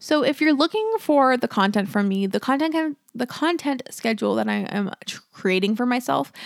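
Very clean and recorded against a silent background, a woman's high voice comes through dry and close with no echo at a moderate pace. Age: 20s. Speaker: podcast host. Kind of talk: solo casual podcast monologue. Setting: home apartment, echoey room. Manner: halting, pausing, self-correcting; casual, candid, emotional.

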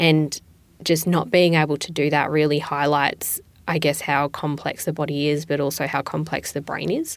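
A woman with an Australian accent, very deep and low in pitch, at a moderate pace with monotone, flat intonation, on a very clean recording with a silent background. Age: 20s. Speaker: patient. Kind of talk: personal testimony. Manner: hesitant with fillers.

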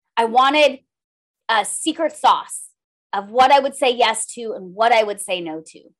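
With an American accent, a woman talks at a moderate pace and a fairly high pitch. Her intonation is lively, and her loudness swings widely. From Minnesota, rural. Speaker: former lawyer, coach and podcaster. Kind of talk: interview.

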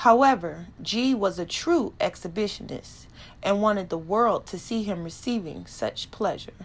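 The voice is an unforced reading voice. It reads along.

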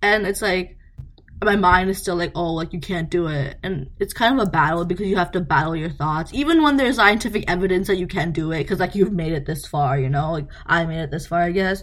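Over noticeable background noise, a woman talks at a fairly quick pace, with fairly low pitch and ordinary pitch variation. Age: 20s. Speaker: podcast intern, pre-med student. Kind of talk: casual chat.

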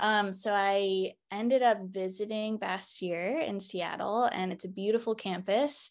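In a normal speaking voice, a woman speaks at a medium pitch and a fairly slow pace, with fairly even intonation and hardly any pauses. The background is quiet. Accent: American. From Baltimore, Maryland. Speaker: naturopathic doctor and acupuncturist. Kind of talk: interview about her practice.

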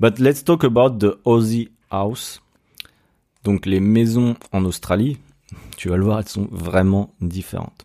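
This man has a strong French accent and a dark, mellow tone. He talks at a moderate pace with ordinary pitch variation and long, frequent pauses. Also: fairly low pitch for a man. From France. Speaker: podcaster. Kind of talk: casual solo podcast monologue. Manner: casual, halting with many fillers.

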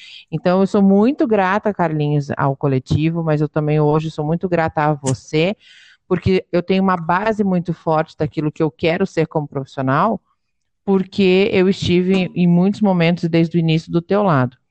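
A woman talks at a moderate pace in an unremarkable speaking voice, fairly low in pitch with ordinary pitch variation and very even loudness. The sound is dry and close with no echo, and the background is quiet. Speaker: podcast host, dance teacher. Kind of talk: casual interview.

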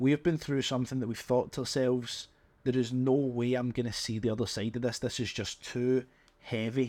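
Fairly quick delivery in a monotone, flat intonation. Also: man, medium pitch for a man. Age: 20s. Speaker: podcast host, business owner. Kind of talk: solo monologue. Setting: home office. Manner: unscripted, casual.

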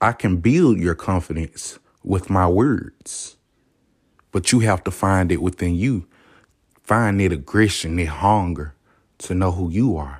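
A man with a Southern US accent speaks in an animated tone at a very deep, low pitch with ordinary pitch variation. His fairly slow pace includes long, frequent pauses, in a very clean recording with a silent background. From US South. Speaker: podcast host. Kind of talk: motivational monologue.

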